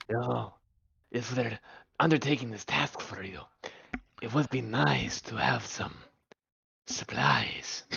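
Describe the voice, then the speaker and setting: The put-on character voice is low-pitched and fairly slow. Long pauses come often. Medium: actual play. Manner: formal.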